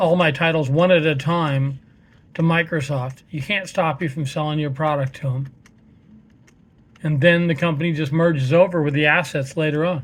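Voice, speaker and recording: A man speaks at a fairly high pitch, somewhat breathy, with fairly even intonation. His pace is moderate, broken by long, frequent pauses. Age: 60s. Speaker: gaming vlogger. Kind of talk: casual monologue. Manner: hesitant, many fillers.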